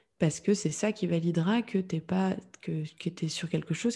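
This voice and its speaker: A woman talks at a moderate pace in a fairly low, dark and mellow voice. She sounds somewhat breathy, and her intonation is fairly even. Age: 30s. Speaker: entrepreneur in podcast communication. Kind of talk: interview. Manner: calm, composed.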